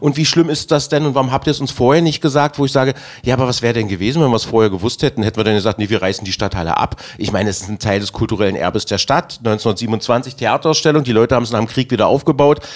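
This man speaks very fast at a medium pitch, with hardly any pauses. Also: ordinary pitch variation. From Magdeburg, Germany. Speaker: city councillor and festival organiser. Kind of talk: casual chat.

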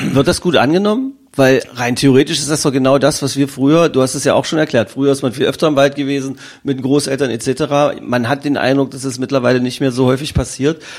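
A man with a plain, everyday voice talks at a fairly quick pace, his fairly high pitch held in fairly even intonation. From Magdeburg, eastern Germany. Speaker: podcast host. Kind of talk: casual interview.

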